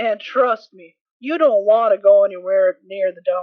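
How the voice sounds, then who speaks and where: A put-on character voice, raspy and fairly high in pitch. It goes along at a moderate pace. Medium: audio drama.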